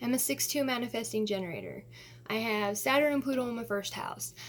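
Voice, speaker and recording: Here a woman speaks in an ordinary speaking voice with a fairly high pitch at a moderate pace. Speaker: astrology vlogger. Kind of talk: casual monologue to camera.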